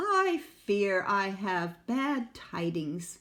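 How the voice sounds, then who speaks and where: A put-on character voice, female-sounding, at a medium pitch. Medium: read story. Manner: crooning, regal.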